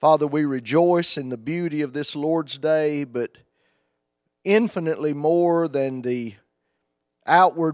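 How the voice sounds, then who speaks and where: Against a quiet background, a man speaks at a fairly slow pace with ordinary pitch variation, the sound dry with no echo. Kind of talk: public prayer. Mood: reverent, humble. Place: church. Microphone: handheld.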